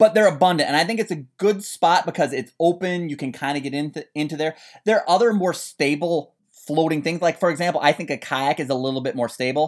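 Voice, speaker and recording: Very fast and with hardly any pauses, a man with an American accent talks at a fairly high pitch with ordinary pitch variation on a very clean recording with a silent background. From Minnesota, US Upper Midwest. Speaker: podcast host, canoeing expert. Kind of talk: casual chat.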